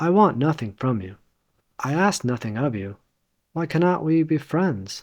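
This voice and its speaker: A man with an American accent talks at a fairly slow pace, his pitch swinging very widely. The recording is very clean, with a silent background. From Los Angeles, California. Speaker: English teacher. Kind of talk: audiobook reading of a classic novel.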